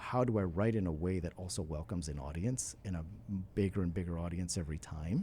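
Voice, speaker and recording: Very deep and low in pitch, a man speaks very fast in a dark, mellow, somewhat breathy voice with ordinary pitch variation. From northeastern New Jersey, immigrant family. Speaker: author. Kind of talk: podcast interview. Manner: halting, many fillers.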